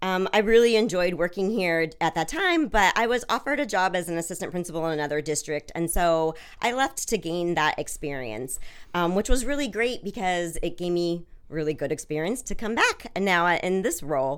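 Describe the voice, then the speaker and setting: A woman's normal speaking voice with an American accent, fairly low in pitch, with lively intonation and a fairly quick pace. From US Pacific Northwest (Washington State). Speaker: school district special education supervisor. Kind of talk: interview.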